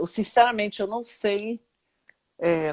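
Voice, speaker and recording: The speech goes at a fairly slow pace with ordinary pitch variation. It is a very clean recording with a silent background. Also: woman. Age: 60s. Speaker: retired labour judge. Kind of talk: interview. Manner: halting.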